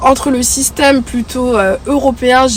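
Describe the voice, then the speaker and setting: There is noticeable background noise behind a woman speaking at a high pitch. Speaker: YouTuber. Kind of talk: vlog talk to camera. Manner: many hesitations (euh).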